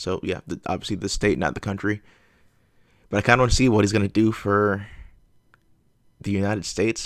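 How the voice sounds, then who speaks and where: With an American accent, a man at a fairly low pitch talks at a very fast pace yet with long, frequent pauses and fairly even intonation, on a very clean recording with a silent background. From US South, Georgia. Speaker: reaction video creator. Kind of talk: casual chat. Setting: live stream. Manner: halting, many fillers.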